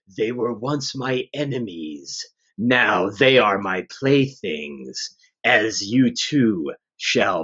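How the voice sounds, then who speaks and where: A man's booming, put-on character voice at a medium pitch and a very slow pace. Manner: menacing, gloating.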